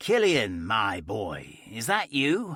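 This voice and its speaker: A raspy, put-on character voice. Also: man. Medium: read story. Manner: all-knowing, amused.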